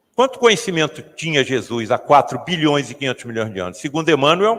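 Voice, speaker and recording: A man's voice with very wide pitch swings. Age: 70s. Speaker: spiritist author and lecturer. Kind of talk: lecture.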